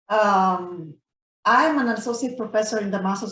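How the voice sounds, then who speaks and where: Here a woman speaks in a Romanian accent with a fairly high, somewhat breathy voice. Her pitch varies in an ordinary way. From Romania, Transylvania. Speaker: professor and university council chair. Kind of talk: meeting discussion. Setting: video call.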